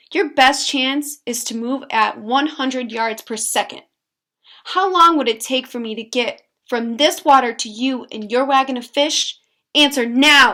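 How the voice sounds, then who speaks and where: A woman's put-on character voice, high-pitched, at a moderate pace, with hissing. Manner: hissing, menacing.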